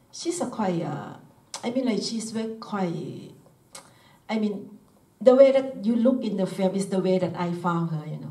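A woman talks in a Thai accent with ordinary pitch variation. Audible room echo surrounds her voice. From Thailand. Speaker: filmmaker. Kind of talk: Q&A discussion. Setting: stage with audience. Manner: halting. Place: hall.

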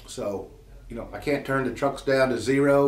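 A man speaks at a moderate pace with audible room echo around him. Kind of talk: company update talk to employees. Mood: calm, appreciative. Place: office.

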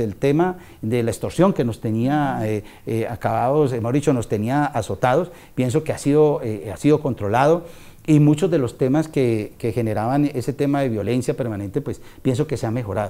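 With a dark, mellow tone, a man speaks at a moderate pace and with ordinary pitch variation. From Colombia, Valle del Cauca (Tuluá); Valle del Cauca, Colombia. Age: 50s. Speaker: local politician, mayoral pre-candidate; local politician, candidate. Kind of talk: interview. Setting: at a private home. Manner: hesitant, with frequent fillers. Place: home room. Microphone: lapel.

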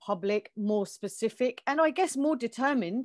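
A woman speaks at a moderate pace with a southern English accent. Her pitch varies in an ordinary way against a quiet background. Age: 50s. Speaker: community organiser; interview guest. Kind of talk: interview. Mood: earnest, upset, determined. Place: home room. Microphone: earbuds.

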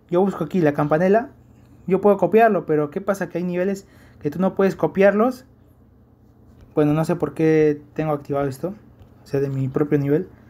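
A man's high-pitched, dark, mellow voice at a fairly quick pace, with ordinary pitch variation and long, frequent pauses. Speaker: gaming YouTuber. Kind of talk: gameplay tutorial. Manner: halting.

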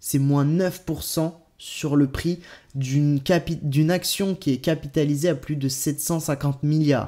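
Over a quiet background, a man with a fairly high pitch and a dark, mellow tone speaks with fairly even intonation. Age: 20s. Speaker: crypto YouTuber. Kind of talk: video commentary. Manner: hesitant, many euh fillers. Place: home room.

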